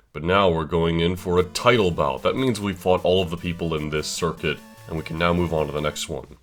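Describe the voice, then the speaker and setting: A man's very deep, low-pitched voice with ordinary pitch variation, music in the background. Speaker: gaming commentator. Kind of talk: let's play commentary. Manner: casual.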